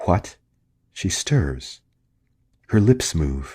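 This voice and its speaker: A man's very deep, low voice with vocal fry at a very slow pace, in a very clean recording with a silent background. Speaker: narrator. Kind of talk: sleep story. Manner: soft-spoken, calm, hushed.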